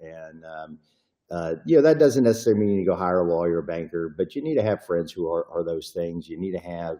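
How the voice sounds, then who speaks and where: This man has a Texan accent and a very deep, low pitch. His tone is dark and mellow, his pace fairly quick, with ordinary pitch variation. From Texas. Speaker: private investigator and attorney. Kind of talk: podcast interview. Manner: casual, with many fillers.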